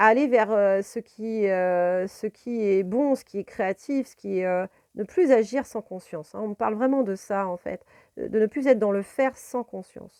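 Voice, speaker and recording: Against a quiet background, a woman's medium-pitched voice comes through with a dry, close sound with no echo, at a fairly slow pace and with ordinary pitch variation. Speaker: tarot card reader and spiritual guide. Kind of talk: tarot reading video monologue. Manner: hesitant, many fillers.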